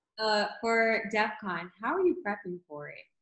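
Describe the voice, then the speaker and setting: A woman with an American accent speaks in a normal speaking voice at a moderate pace. Her pitch sits fairly high. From northern US. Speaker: podcast interviewer. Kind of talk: casual interview.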